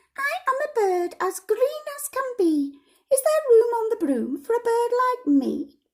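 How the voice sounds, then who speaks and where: A squeaky, put-on character voice at an extremely high pitch and a fairly slow pace. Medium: read story.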